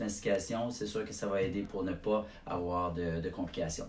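A man with ordinary pitch variation, light background noise and audible room echo. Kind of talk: explanatory talk to camera. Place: office. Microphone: camera far.

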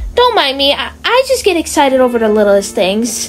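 A woman's energetic tone over music in the background. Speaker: voice actor playing a pony character. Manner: energetic, excitable.

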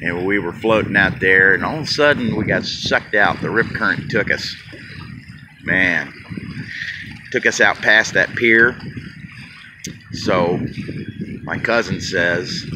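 A man with a fairly low pitch and ordinary pitch variation talks with long, frequent pauses over noticeable background noise. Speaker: vlogger. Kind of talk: casual vlog chat. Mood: amused storytelling, laughing. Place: waterside. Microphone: phone near.

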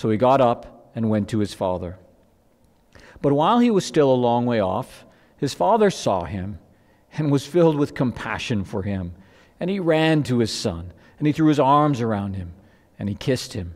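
Against a quiet background, a man speaks at a moderate pace with long, frequent pauses. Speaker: pastor. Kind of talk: scripture reading in sermon. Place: church. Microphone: headset.

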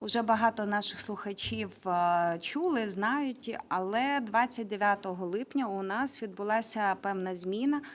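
This is an ordinary speaking voice with ordinary pitch variation, on a very clean recording with a silent background. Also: woman. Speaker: regional government official. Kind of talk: press briefing.

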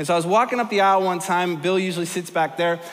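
Speaking fast in a high pitch, a man is recorded with audible room echo. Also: ordinary pitch variation.

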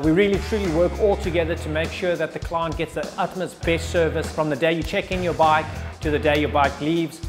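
A man talks at a fairly quick pace while clear music plays behind him. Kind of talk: interview answer. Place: workshop. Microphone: lapel.

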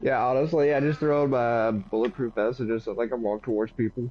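A man with a Southern US accent talks at a fairly quick pace and medium pitch. His loudness stays very even. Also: ordinary pitch variation. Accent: southern twang. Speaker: gamer chatting during co-op play.

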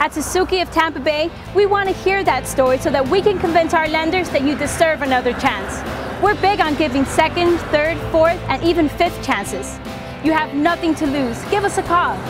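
A woman speaks at a moderate pace in a dry sound with no echo. Clear music plays in the background. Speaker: commercial spokesperson. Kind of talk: TV infomercial car dealership narration. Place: street.

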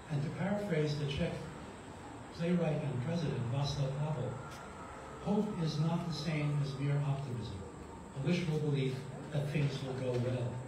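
A man with a fairly high pitch talks at a moderate pace with fairly even intonation and long, frequent pauses, amid noticeable background noise and audible room echo. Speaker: clergy member and retired psychologist. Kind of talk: rally speech. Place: garden. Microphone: camera far.

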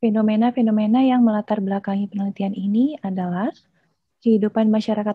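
A woman's somewhat breathy, dark, mellow voice at a very fast pace, fairly even in intonation, against a quiet background. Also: dry sound with no echo. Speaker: doctoral candidate and design lecturer; candidate, design lecturer. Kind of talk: dissertation defense presentation; answering examiners' questions. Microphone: video call.

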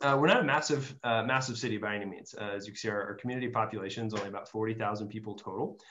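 A man talks at a very fast pace with hardly any pauses, his pitch fairly low. Light background noise sits under the recording. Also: ordinary pitch variation. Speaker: university admissions director. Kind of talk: informational webinar presentation. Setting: video call. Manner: halting, many fillers. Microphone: video call.

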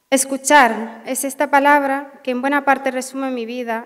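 A woman's monotone, flat delivery at a fairly slow pace against a quiet background. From Western Sahara. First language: Hassaniya Arabic (speaking Spanish). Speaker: social work graduate. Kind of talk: graduation speech. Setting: auditorium with audience. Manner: halting. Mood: emotional, grateful. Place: hall. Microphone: podium.

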